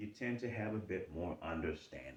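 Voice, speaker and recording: A man talks at a moderate pace with an American accent. His voice carries vocal fry. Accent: Charleston Geechee. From US South, Charleston, South Carolina. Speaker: life coach / motivational talker. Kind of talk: motivational talk. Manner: repetitive, emphatic.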